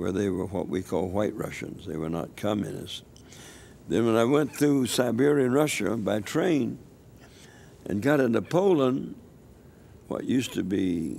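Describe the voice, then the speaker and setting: A man with a fairly low voice speaks at a fairly slow pace with lively intonation. Audible room echo surrounds the recording. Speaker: elderly missionary evangelist. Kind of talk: interview testimony. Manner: halting, with repetitions.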